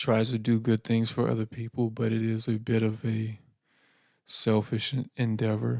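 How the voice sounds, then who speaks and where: A soft-spoken man talks at a fairly slow pace and medium pitch. The recording is very clean, with a silent background. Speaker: podcast host. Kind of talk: personal reflective monologue. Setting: home podcast setup. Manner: quiet, soft-spoken; laid-back, casual with fillers.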